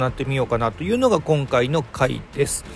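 Noticeable background noise sits behind the speaker. He is a man with a fairly high pitch. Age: 40s. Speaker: podcast host. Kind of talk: casual chat.

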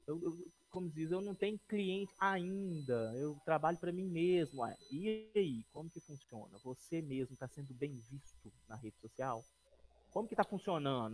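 This man has a normal speaking voice at a fairly high pitch. He speaks at a moderate pace with lively intonation. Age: 30s. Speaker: podcast co-host, production company partner. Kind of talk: casual chat. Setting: live stream, improvised outside studio.

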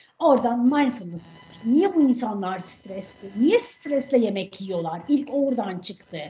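Over noticeable background noise, a woman speaks at a very slow pace in a high pitch. Her pitch swings very widely. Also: big swings in loudness. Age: 40s. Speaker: health coach and cookbook author. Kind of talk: podcast interview.

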